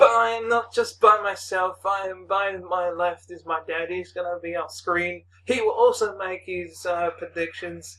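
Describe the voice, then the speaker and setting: A man in a raised, projected voice speaks at a fairly slow pace with hardly any pauses, his high-pitched, bright, sharp tone showing ordinary pitch variation and big swings in loudness. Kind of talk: casual talk to camera.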